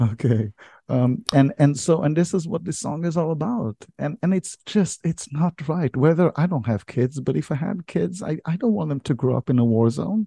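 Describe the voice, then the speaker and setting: A man's fairly high voice with a dark, mellow tone, lively intonation and hardly any pauses. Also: moderate pace, dry, close sound with no echo. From Israel. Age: 50s. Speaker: leadership podcaster and army veteran. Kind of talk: interview with personal storytelling.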